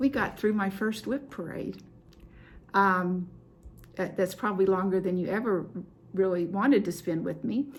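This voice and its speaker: A woman at a medium pitch with vocal fry, ordinary pitch variation, a moderate pace and long, frequent pauses. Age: 70s. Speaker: cross stitch video host. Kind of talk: casual show-and-tell chat to camera. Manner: halting, many fillers.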